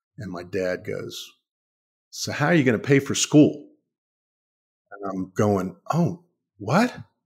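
In an American accent, a man speaks at a very slow pace. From Washington, D.C. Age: 60s. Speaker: author and succession planning lawyer. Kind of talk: interview.

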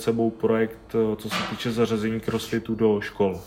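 A man speaks at a medium pitch in a monotone, flat delivery. Noticeable noise sits in the background. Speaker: CrossFit athlete and coach. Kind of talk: interview.

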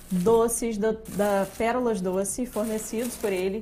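A woman speaks very slowly in a fairly high pitch with a monotone, flat intonation. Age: young. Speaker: historian and teacher, podcast co-host. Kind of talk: casual live chat. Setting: studio, live stream.

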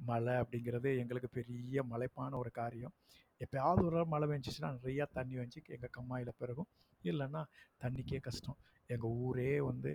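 The man's somewhat breathy voice is recorded with a dry, close sound with no echo. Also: medium pitch for a man, ordinary pitch variation. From Tamil Nadu, Virudhunagar district village. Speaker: school principal. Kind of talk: personal storytelling podcast monologue. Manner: casual, unpolished village speech.

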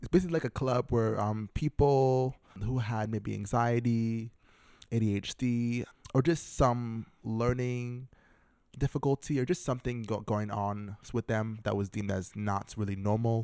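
A man's medium-pitched, dark and mellow voice with an American accent, fairly even intonation and a very clean recording over a silent background. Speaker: college student guest. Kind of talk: casual interview chat. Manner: halting, with many fillers.

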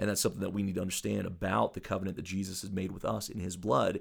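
A man with a fairly low voice and vocal fry speaks with fairly even intonation. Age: 40s. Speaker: preacher. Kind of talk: casual chat.

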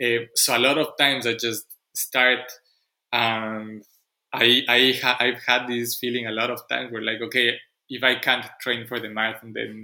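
A man with a non-native accent speaks at a moderate pace and medium pitch. His tone is bright and sharp, his intonation monotone and flat. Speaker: podcast host. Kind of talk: interview conversation.

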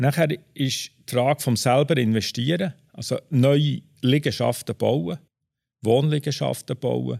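The sound is dry and close, with no echo, as a man speaks at a very slow pace. Vocal fry runs through his voice. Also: medium pitch for a man, ordinary pitch variation. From Switzerland, Bern. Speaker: property manager. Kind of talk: interview.

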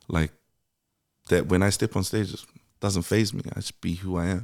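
At a moderate pace and with fairly even intonation, the voice sounds dry and close with no echo on a very clean recording with a silent background. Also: man. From New Zealand, Auckland (Mount Roskill). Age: 30s. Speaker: musician. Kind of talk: casual chat.

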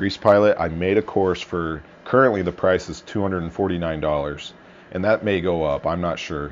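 Here a man speaks with a very deep, low pitch and ordinary pitch variation. His pace is moderate. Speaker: podcast host and aircraft mechanic business owner. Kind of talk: solo podcast monologue. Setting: recorded on a phone. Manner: casual, rambling with fillers.

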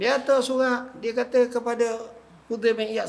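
This man's voice sits at an extremely high pitch, with fairly even intonation. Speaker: religious teacher. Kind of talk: religious lecture. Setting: mosque prayer hall with audience. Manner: casual colloquial.

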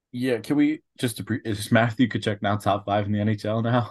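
A man speaks in an unremarkable speaking voice with a fairly low pitch. The background is quiet. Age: 20s. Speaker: hockey podcast co-host. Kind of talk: casual chat.

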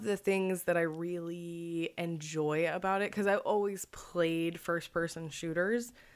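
In an unremarkable speaking voice, a woman speaks at a fairly slow pace with fairly even intonation on a very clean recording with a silent background. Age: 20s. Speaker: podcast co-host, art historian and comedian. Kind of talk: casual chat.

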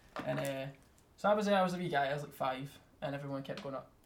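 Over noticeable background noise, a man with a Scottish accent talks at a very fast pace with a fairly high pitch and ordinary pitch variation. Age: 20s. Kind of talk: casual chat.

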